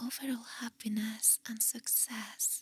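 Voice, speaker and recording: The speaker is whispering. The pace is very slow. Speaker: ASMR artist. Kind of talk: ASMR positive affirmations. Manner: whispered.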